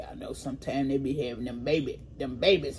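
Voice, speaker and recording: Noticeable background noise under a woman speaking. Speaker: food vlogger. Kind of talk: casual mukbang vlog chat. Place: home room. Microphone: phone near.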